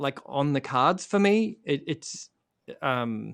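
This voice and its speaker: Against a quiet background, a man with an Australian accent talks at a very slow pace, his intonation lively. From Australia, rural Victoria. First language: Croatian. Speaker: singer-songwriter and author. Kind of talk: casual interview on a live music stream.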